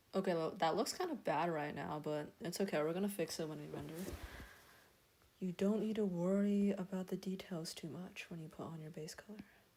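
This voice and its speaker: A dark, mellow tone comes at a fairly quick pace, with big swings in loudness. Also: woman, fairly low pitch for a woman, ordinary pitch variation. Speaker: streamer doing digital art. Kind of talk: casual live-stream tutorial. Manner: stuttering today; casual with many fillers.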